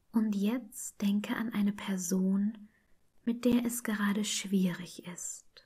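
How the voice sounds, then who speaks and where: A woman at medium pitch talks at a very slow pace in a calm, soothing, dark and mellow tone, somewhat breathy, with monotone, flat intonation. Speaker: meditation guide. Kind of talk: guided meditation.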